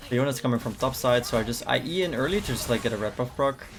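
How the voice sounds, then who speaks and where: Very fast, lively speech comes from a man at a medium pitch. There is noticeable background noise. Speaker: gaming streamer. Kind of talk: gameplay commentary. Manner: casual.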